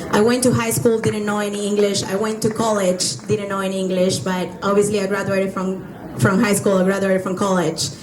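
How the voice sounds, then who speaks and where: A woman with a Spanish accent speaks with fairly even intonation amid audible room echo and noticeable background noise. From Venezuela. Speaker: entrepreneur. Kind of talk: testimony.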